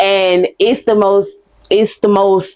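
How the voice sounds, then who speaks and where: The tone is dark and mellow, from a woman at medium pitch. She delivers her words in a flat, monotone way. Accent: strong Southern. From US South, Baton Rouge, Louisiana. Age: 20s. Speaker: podcast host. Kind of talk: casual chat. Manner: stumbles over words at times.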